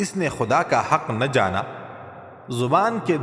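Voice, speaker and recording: Amid noticeable background noise, a man with a fairly high pitch makes very wide pitch swings. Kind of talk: religious quotes narration.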